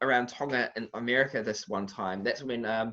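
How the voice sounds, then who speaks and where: A man with a bright, sharp tone against a quiet background. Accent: New Zealand. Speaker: boxing analyst. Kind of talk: interview. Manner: halting.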